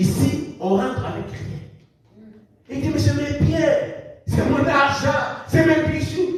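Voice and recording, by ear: A man speaks slowly at an extremely high pitch with fairly even intonation. Strong room echo surrounds the voice.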